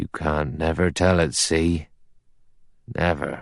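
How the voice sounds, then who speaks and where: A man puts on a character voice with very deep, low pitch, fairly even intonation and a fairly slow pace against a quiet background. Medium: read story. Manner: solemn, gloomy.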